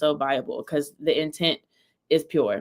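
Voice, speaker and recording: A woman's voice, fairly low in pitch. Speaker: crypto educator and livestream host. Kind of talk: casual recap livestream. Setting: office. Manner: casual, filler-heavy; fast.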